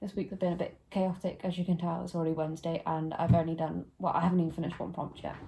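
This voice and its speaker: A woman speaks with a British accent. Her voice is somewhat breathy, with a dark, mellow tone. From UK. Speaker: book vlogger. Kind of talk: casual vlog.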